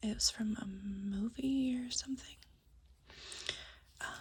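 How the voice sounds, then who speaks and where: Noticeable background noise sits behind this recording. A soft-spoken woman talks with a fairly high pitch. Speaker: ASMR creator. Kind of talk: soft-spoken ASMR show-and-tell. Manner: hesitant, many fillers.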